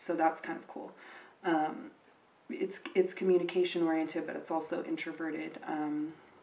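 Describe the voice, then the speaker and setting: Here a woman speaks at a moderate pace in a fairly low voice with ordinary pitch variation. Her loudness swings widely, and there is noticeable background noise. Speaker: tarot card reader. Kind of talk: tarot reading monologue. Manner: hesitant, many fillers and repetitions.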